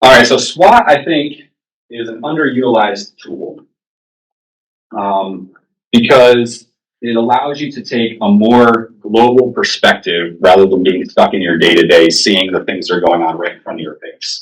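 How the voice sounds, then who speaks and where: A man speaks at a medium pitch with lively intonation. His loudness swings widely. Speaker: workplace trainer. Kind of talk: training workshop. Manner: fast; casual, conversational.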